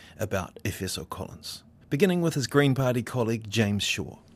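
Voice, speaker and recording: Recorded very cleanly against a silent background, a man of medium pitch talks at a moderate pace. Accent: New Zealand. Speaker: radio presenter. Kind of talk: news reading.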